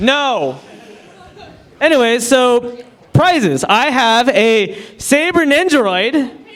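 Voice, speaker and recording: Over noticeable background noise and audible room echo, a man with an extremely high pitch talks at a very slow pace, with lively intonation and long, frequent pauses. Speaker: fan convention panelist. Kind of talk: convention panel giveaway. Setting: stage with audience.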